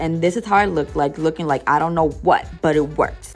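With faint music in the background, a woman speaks at a fairly low pitch with ordinary pitch variation. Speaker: beauty vlogger. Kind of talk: casual voice-over hair tutorial.

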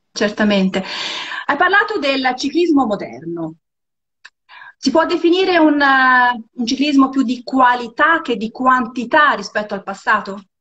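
A woman speaks at a high pitch, fairly slowly, with long, frequent pauses. Her pitch swings very widely against a quiet background. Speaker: interviewer. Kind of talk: casual interview. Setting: video call. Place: home room.

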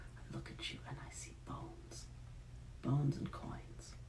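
A man puts on a character voice at a moderate pace. Hissing and loud background noise fill the recording. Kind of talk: bitter and cold.

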